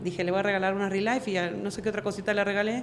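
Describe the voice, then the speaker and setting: Room echo can be heard as a woman talks. Her pitch sits in the medium range. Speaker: network marketing leader. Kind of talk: interview.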